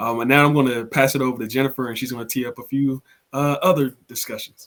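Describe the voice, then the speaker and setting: Delivered at a very fast pace, this man's medium-pitched speech in an American accent stays monotone and flat. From Prince George's County, Maryland. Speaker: webinar moderator. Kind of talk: panel moderation.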